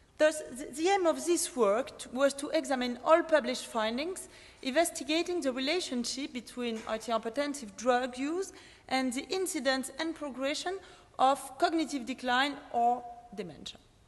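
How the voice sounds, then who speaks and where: In a French accent, a woman speaks at a moderate pace in a high voice with ordinary pitch variation and big swings in loudness. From France. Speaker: pharmacist and PhD researcher. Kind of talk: conference presentation. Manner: hesitant, many fillers.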